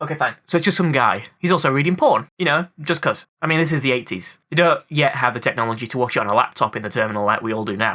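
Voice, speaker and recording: A man races along very fast with hardly any pauses, his fairly high voice bright and sharp and his intonation lively. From UK. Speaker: film review YouTuber. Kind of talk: film commentary video essay. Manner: casual, jokey.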